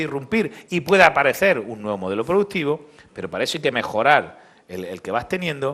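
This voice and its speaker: A man with an Andalusian accent speaks at a fairly quick pace, his voice making very wide pitch swings. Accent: noticeable Andalusian. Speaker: business association leader. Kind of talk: conference speech.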